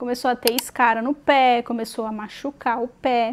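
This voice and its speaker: The voice belongs to a woman. She speaks at a high pitch. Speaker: mother of a child with spina bifida, video creator. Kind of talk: casual vlog talk to camera. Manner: halting, with fillers and restarts.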